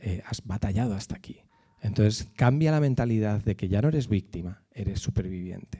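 Against a quiet background, a man speaks at a fairly quick pace in a fairly low, dark, mellow voice that is somewhat breathy, with ordinary pitch variation. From Madrid, Spain; Spain. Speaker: speaker at a church on abuse recovery. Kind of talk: church talk; talk to a church audience. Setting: church. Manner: halting. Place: church. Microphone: handheld.

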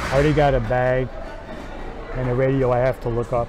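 Amid noticeable background noise, a man talks at a fairly quick pace, the sound dry with no echo. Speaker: thrift reseller vlogger. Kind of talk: casual vlog chat. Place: shop. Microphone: phone near.

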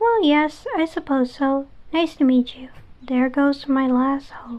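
A put-on character voice speaks at a fairly slow pace with ordinary pitch variation. Its loudness swings widely. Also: woman, high pitch for a woman. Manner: haughty, condescending.

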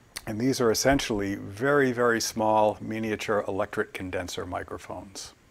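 Fairly low-pitched male voice at a moderate pace, with ordinary pitch variation. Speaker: presenter. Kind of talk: lecture. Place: office.

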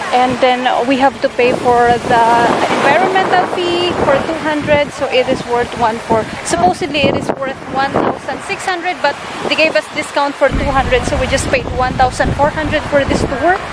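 Over loud background noise, a woman talks at a moderate pace with ordinary pitch variation, the sound dry with no echo. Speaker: travel vlogger. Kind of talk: casual vlog chat. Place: beach. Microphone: phone near.

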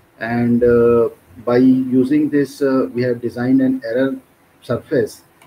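A man speaks with an Indian accent. His intonation stays fairly even. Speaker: doctoral researcher. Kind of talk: conference presentation. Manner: halting.

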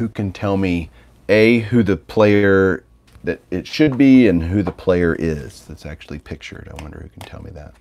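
In a quiet background, a man with a very deep, low pitch speaks in a relaxed tone with lively intonation. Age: 40s. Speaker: sports card collector YouTuber. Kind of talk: casual livestream chat. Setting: home livestream with mic. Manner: relaxed, conversational. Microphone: phone near.

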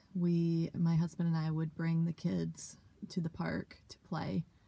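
A woman's dark, mellow, somewhat breathy voice, fairly low in pitch, at a very slow pace. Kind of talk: interview answer. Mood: reflective, emotional. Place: car. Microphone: phone near.

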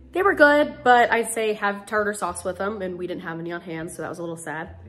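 Faint music plays in the background while a woman talks at a fairly quick pace. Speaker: food reviewer. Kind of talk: casual vlog chat. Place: kitchen. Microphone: phone near.

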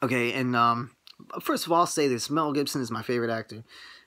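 Very clean and silent in the background, this recording has a man speaking at a fairly quick pace in a bright, sharp, passionate tone. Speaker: movie channel vlogger. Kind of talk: angry rant. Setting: home video, night. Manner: irritated, worked-up, passionate rant with halting, stumbling delivery.

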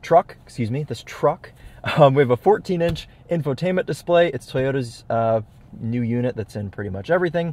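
The man's voice sounds dry, with no echo. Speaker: car reviewer. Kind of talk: casual vlog chat. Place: car. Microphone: phone near.

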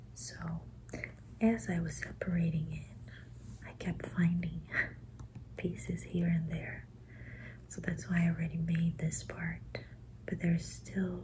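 Soft-spoken and gentle in tone, a woman talks at a fairly slow pace with long, frequent pauses over light background noise. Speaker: ASMR creator. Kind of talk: soft-spoken ASMR puzzle commentary. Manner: soft-spoken, gentle ASMR voice. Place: home room.

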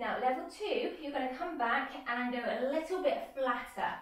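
A woman's high voice carries audible room echo. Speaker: fitness instructor. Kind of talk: workout instruction. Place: home room. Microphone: camera far.

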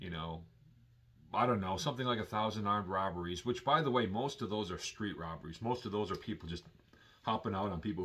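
A man with an American accent talks at a very fast pace, his pitch rising and falling in an ordinary way. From Milwaukee, Wisconsin, US Midwest; Wisconsin. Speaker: YouTuber; vlogger. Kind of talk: vlog monologue. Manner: casual, hesitant with fillers. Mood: earnest, concerned.

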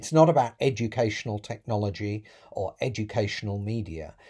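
Fairly low-pitched, somewhat breathy man's voice with a British accent, dark and mellow in tone, ordinary pitch variation, moderate pace and a quiet background. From UK. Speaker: professor. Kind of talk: prepared talk to camera. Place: home room.

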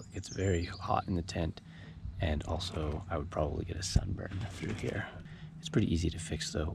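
The speech runs at a moderate pace over noticeable background noise. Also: man, dry sound with no echo. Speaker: backpacker reviewing gear. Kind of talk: casual vlog chat. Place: tent. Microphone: phone near.

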